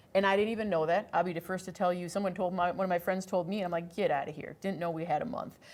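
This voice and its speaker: This woman speaks with an Upper Midwest accent. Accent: Upper Midwest American. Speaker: podcast host. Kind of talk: casual interview. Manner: animated.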